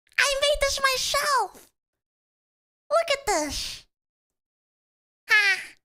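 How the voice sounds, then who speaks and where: Using an American accent, a woman speaks very slowly in a raised, projected voice with a bright, sharp tone and very wide pitch swings. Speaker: VTuber streamer. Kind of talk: live stream chat. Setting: live stream. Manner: animated.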